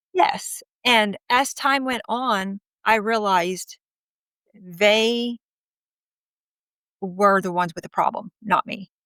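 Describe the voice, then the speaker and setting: The voice is loud with a bright, sharp tone, delivered at a very slow pace with long, frequent pauses. The sound is dry and close with no echo. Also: woman, fairly high pitch for a woman, ordinary pitch variation. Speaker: interviewee sharing her marriage story. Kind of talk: interview testimony. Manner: outspoken.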